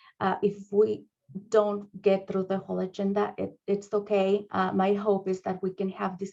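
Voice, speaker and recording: A woman speaks at a fairly slow pace with a Spanish accent, her medium-pitched voice held in a monotone, flat intonation. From Mexico. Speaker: school district administrator. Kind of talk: training presentation. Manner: halting, many fillers.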